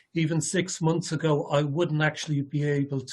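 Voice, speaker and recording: A man with an Irish accent, fairly high pitch, a somewhat breathy sound, monotone, flat intonation and a moderate pace. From Ireland. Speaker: ALS patient presenter. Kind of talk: presentation. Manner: halting, many fillers and repetitions.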